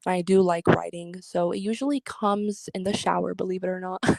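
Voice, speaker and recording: This woman has a normal speaking voice at a medium pitch, with fairly even intonation and a dry, close sound that has no echo. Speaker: content creator and singer. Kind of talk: interview. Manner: casual, filler-heavy.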